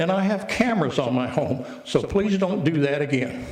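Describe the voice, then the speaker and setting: Amid audible room echo and noticeable background noise, a man speaks at a moderate pace with lively intonation. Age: 80s+. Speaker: resident speaking at public comment. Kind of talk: public comment at council meeting. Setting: city council meeting.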